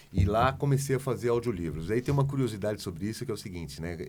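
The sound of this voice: Vocal fry runs through a man's medium-pitched voice as it makes very wide pitch swings.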